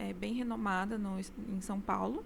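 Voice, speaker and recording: Audible room echo surrounds this woman's voice. She speaks at a fairly slow pace with medium pitch. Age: 20s. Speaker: architect, interior designer. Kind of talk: interview. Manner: hesitant, many fillers.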